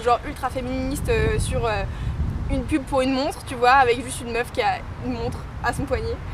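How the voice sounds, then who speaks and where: Against noticeable background noise, a woman's voice moves along at a moderate pace. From western France (Saint-Nazaire / Nantes). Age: 20s. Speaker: DJ. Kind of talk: street interview. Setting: outdoors. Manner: weak articulation.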